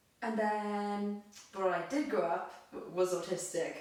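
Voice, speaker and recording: Noticeable background noise, plus audible echo from the room. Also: woman. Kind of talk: casual chat, personal testimony.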